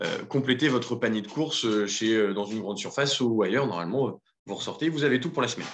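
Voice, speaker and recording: A man talks very fast at a medium pitch. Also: ordinary pitch variation. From Aisne, northern France. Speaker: entrepreneur. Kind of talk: workshop introduction round. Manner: hesitant, many fillers.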